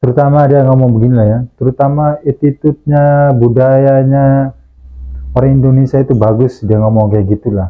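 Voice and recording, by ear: This man talks at a moderate pace in a medium pitch, his intonation fairly even.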